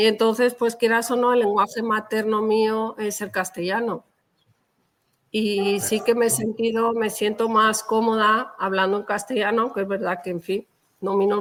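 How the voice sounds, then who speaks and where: Delivered at a moderate pace, the speech carries monotone, flat intonation. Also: woman. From Valencia region, Spain (Xeraco), family from Toledo. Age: 50s. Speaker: novelist. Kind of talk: interview.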